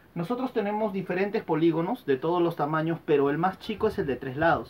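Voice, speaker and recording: This man has a high voice and lively intonation. He speaks at a fairly quick pace. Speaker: primary school teacher. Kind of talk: lesson. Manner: soft-spoken.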